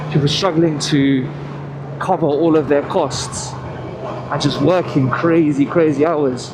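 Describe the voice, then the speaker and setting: Man with a British accent, fairly high pitch and a fairly slow pace, amid noticeable background noise and audible room echo. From England. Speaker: motorcycle vlogger. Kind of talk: casual monologue while riding.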